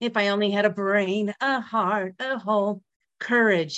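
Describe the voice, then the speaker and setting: Here is a woman with an ordinary speaking voice. Her pitch moves with ordinary variation. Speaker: author, empowerment speaker. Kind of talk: testimony. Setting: video call.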